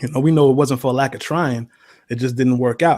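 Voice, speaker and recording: A man with a New York accent has a dark, mellow tone. The recording is very clean, with a silent background. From New York City (Spanish Harlem). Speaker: basketball fan commentator. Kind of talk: casual interview.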